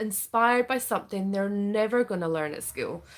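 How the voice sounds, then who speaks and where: In a Scottish accent, the speaker goes at a moderate pace with ordinary pitch variation on a very clean recording with a silent background. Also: woman. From Scotland. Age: 30s. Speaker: parenting coach. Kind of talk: sales pitch. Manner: casual, filler-heavy.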